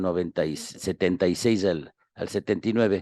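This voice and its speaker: Very deep and low, a man's voice comes through dry and close with no echo. The background is quiet. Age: 70s. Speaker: historian and professor. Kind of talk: radio interview. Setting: radio studio. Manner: hesitant with fillers.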